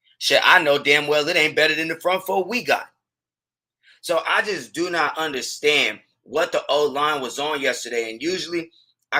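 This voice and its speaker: A loud man with a bright, sharp tone, fairly high pitch, ordinary pitch variation and a moderate pace. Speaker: sports podcast host. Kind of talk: casual sports commentary. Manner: animated.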